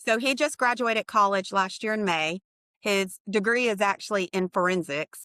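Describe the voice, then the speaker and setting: Woman with an ordinary speaking voice in an American accent, medium pitch, ordinary pitch variation and a moderate pace, in a dry, close sound with no echo. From US military brat, high school in Oklahoma. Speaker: radiation therapy leader. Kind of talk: casual interview. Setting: call.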